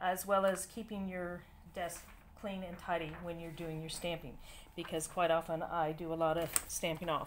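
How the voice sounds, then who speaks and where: The speaker has an American accent, a moderate pace and fairly even intonation. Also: woman. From United States. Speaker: papercraft demonstrator. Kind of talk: tutorial. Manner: casual, with frequent fillers.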